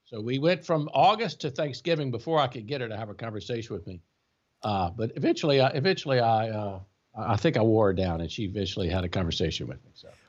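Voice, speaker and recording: Speaking at a very fast pace, a man with a South Louisiana accent keeps a medium pitch. His voice shows very wide pitch swings and big swings in loudness. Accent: South Louisiana Southern US. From US South, Louisiana (Baker, near Baton Rouge). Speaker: tax attorney, law firm co-founder. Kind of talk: casual interview.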